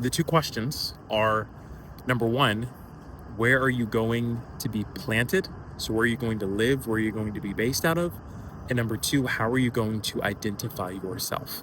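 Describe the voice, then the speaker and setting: A man speaks in a normal speaking voice at a medium pitch. His pitch variation is ordinary and his pace moderate. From Atlanta, Georgia, US. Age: 20s. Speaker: career content creator, entrepreneur. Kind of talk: casual talk to camera.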